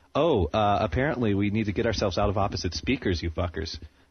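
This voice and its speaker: A man with an American accent speaks at a very fast pace. His voice is somewhat breathy, with ordinary pitch variation. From New Jersey. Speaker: amateur internet radio host. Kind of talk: casual chat. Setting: home studio, live internet radio.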